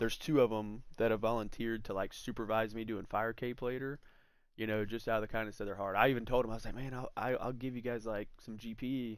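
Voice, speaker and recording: A man's medium-pitched voice at a very fast pace, with monotone, flat intonation. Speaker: gaming livestreamer. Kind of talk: live gameplay commentary. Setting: livestream. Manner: casual, filler-heavy.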